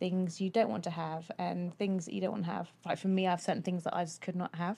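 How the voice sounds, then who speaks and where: A woman with a British accent speaks in a dark, mellow tone at a fairly low pitch. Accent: British English, noticeable. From United Kingdom. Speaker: guest, host's former partner. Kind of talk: casual chat. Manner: bubbly, giggly, cheerful.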